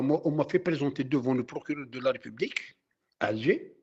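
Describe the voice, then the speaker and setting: A man speaks at a moderate pace with a fairly high pitch. His voice is somewhat breathy. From Algeria (Kabylie). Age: 60s. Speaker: former activist. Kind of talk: interview testimony. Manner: halting.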